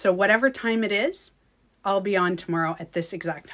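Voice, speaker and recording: A woman's medium-pitched, bright and sharp voice in a French Canadian accent, with ordinary pitch variation at a moderate pace. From Quebec. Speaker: beauty coach and livestreamer. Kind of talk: casual livestream chat.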